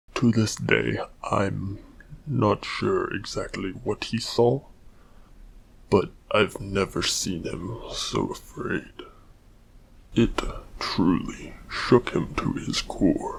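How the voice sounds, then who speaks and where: A put-on character voice at a very slow pace, with long, frequent pauses. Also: man. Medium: machinima. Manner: relaxed, warm.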